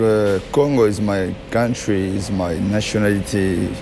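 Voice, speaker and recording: A man's fairly low-pitched voice with fairly even intonation, music playing behind it. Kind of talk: interview answer. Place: gym. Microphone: handheld.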